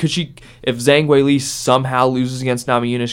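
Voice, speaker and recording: The man speaks at a very fast pace. His medium-pitched voice has fairly even intonation. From Ohio, US. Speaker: student radio podcast host. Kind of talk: casual sports discussion podcast.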